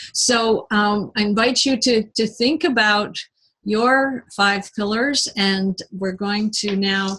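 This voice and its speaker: Very slowly, a woman speaks at medium pitch in a bright, sharp tone with ordinary pitch variation. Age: 60s. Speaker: independent sales consultant and nutritionist. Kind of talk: product presentation. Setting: live online video presentation with screen share. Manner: halting, many fillers.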